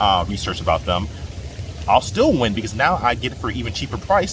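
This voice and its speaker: This man has a fairly low pitch and speaks at a fairly quick pace with very wide pitch swings. Noticeable background noise sits behind him. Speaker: stock investing YouTuber. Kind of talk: casual vlog monologue. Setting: in a jacuzzi. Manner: unscripted, hesitant with fillers.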